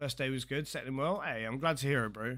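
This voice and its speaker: A man with a British accent, a bright, sharp tone and fairly even intonation, on a very clean recording with a silent background. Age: 30s. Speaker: game streamer. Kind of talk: live stream chat.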